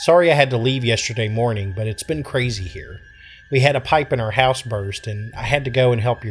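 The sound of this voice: An unforced reading voice moves through ordinary pitch variation.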